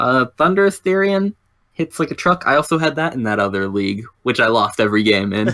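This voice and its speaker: Speaking at a fairly quick pace, a man with a medium pitch and a bright, sharp tone is heard in a dry, close sound with no echo. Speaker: Pokemon draft league analyst. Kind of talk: casual chat.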